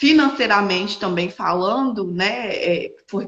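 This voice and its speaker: Speaking at a fairly slow pace, a woman sounds somewhat breathy. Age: 20s. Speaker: entrepreneur and widowed mother. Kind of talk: interview testimony. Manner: halting, many fillers.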